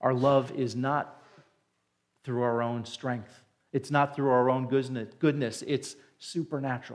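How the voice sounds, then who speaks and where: A man with an American accent speaks at a fairly slow pace in a flat, monotone delivery, leaving long, frequent pauses. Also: medium pitch for a man. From New Jersey, near New York City. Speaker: pastor. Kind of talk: sermon. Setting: church.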